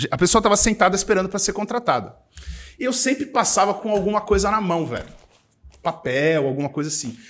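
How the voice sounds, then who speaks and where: The man's voice is high in pitch and swings very widely. He talks at a fairly quick pace. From São Paulo, East Zone. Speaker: entrepreneur, events agency owner. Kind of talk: casual interview chat. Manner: animated.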